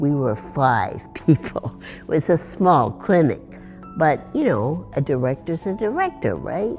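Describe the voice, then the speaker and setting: A woman speaks in a very deep, low pitch with very wide pitch swings and big swings in loudness. Music plays in the background. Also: fairly slow pace. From Northern Quebec, Canada. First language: bilingual English and French. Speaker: retired lawyer, former legal clinic director. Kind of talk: interview answer.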